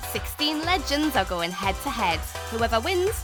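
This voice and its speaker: Music plays in the background as a woman speaks at a moderate pace. Her tone is upbeat. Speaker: quiz show host. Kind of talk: TV quiz show hosting.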